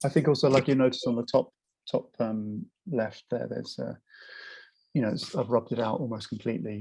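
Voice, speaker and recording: A man speaks with lively intonation and vocal fry. The sound is dry and close, with no echo. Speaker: puppet maker and artist, drawing teacher. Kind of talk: casual interview answer explaining drawing technique.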